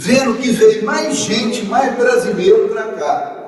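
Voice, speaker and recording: Noticeable background noise and audible room echo surround the recording. The man's voice has very wide pitch swings. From Brazil, Federal District (Cidade Livre), born in Minas Gerais. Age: 70s. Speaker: historian giving a talk. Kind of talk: lecture.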